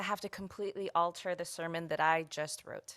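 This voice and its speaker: Here is a woman with a plain, everyday voice. She keeps a moderate pace and fairly even intonation. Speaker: guest minister and community organizer. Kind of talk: sermon delivered to a congregation. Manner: personal, reflective.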